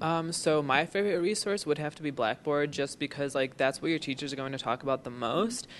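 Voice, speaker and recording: A man's unremarkable speaking voice, fairly high in pitch, with ordinary pitch variation and hardly any pauses. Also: fairly quick pace. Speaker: student orientation leader. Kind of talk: orientation talk, casual anecdote.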